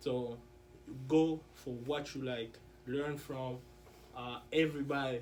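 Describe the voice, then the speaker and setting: A man with a French accent speaks very slowly in a monotone, flat way, leaving long, frequent pauses. His loudness swings widely, and room echo is audible. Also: medium pitch for a man. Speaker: interview guest, student. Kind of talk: casual interview.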